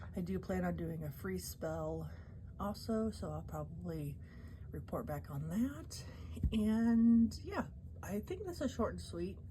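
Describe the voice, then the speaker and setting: A woman at a fairly slow pace with long, frequent pauses, plus audible room echo and noticeable background noise. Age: 40s. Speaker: tarot and witchcraft YouTuber. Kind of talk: casual monthly vlog wrap-up. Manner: halting, many fillers.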